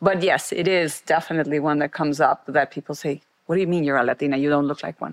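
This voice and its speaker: In a Mexican accent, a woman talks at a very fast pace. Her voice is very deep and low, with fairly even intonation. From Mexico. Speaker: former marketing executive and board director. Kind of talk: interview conversation.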